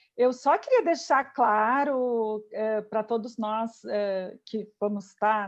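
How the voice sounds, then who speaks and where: Woman's fairly high voice in a southern Brazilian accent, with ordinary pitch variation. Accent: southern Brazilian (gaúcho). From southern Brazil, Porto Alegre. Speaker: physician, healthcare quality specialist. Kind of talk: interview.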